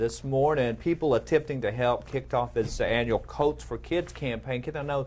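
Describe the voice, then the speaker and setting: A man with a slight Texas accent at a moderate pace, with hardly any pauses. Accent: slight Texas twang. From East Texas. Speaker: news anchor. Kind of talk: casual news chat.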